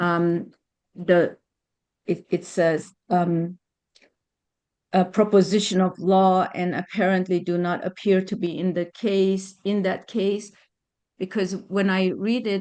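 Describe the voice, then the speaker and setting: This woman has a dark, mellow tone and a non-native accent. She talks very slowly in a flat monotone, with long, frequent pauses, against a quiet background. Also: medium pitch for a woman. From Germany. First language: not English. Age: 60s. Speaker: attorney. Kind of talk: testimony. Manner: halting.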